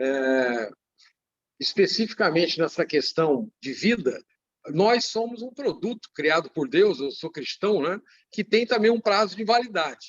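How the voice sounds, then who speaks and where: With lively intonation, a man speaks at a fairly slow pace and a high pitch. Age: 60s. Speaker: business owner. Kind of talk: panel talk in a livestream. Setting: online livestream.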